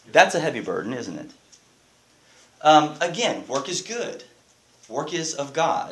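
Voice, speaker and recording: A man's fairly high voice with lively intonation and big swings in loudness, a fairly slow pace broken by long, frequent pauses, audible room echo and noticeable background noise. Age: 40s. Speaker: pastor. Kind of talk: sermon.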